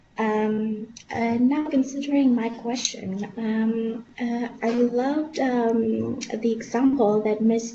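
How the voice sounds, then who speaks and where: Fairly high pitch from a woman with fairly even intonation, audible room echo and noticeable background noise. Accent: Lithuanian. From Lithuania. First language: Lithuanian. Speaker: medical student representative. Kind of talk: webinar question. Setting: webinar. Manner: halting.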